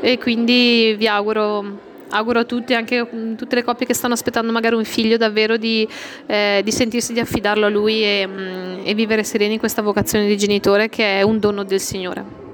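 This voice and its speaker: Noticeable background noise sits behind a woman speaking at a fairly quick pace. Her fairly high voice keeps a fairly even intonation. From Brescia area. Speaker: expectant mother. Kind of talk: interview.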